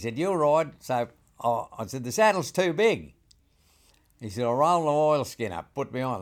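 A man speaks with a rural Australian accent. His pace is fairly slow and his intonation lively. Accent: broad rural Australian. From rural New South Wales, Australia. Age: 80s+. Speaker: saddle maker. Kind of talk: interview storytelling. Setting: saddle shop.

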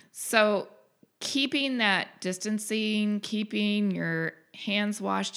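The recording is very clean, its background silent. A woman talks in it. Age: 60s. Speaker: deputy town treasurer and podcast co-host. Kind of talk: casual chat about town budget. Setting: at her home, across a table.

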